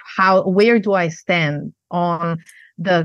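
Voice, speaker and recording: A woman speaks with a Macedonian accent. Her pitch is fairly low, and the background is quiet. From Yugoslavia, Macedonia. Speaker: negotiation trainer and lecturer. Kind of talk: interview answers.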